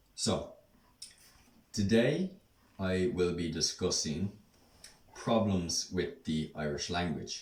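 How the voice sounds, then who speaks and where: Somewhat breathy and very deep in pitch, a man speaks at a very slow pace with long, frequent pauses. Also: ordinary pitch variation. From Ireland, Dublin. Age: 20s. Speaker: Irish language speaker and English teacher. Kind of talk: casual vlog talk. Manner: hesitant, many ums.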